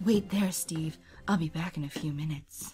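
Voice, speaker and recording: Straining in a put-on character voice, a woman speaks at a moderate pace with a very deep, low pitch. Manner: strained, held-down voice.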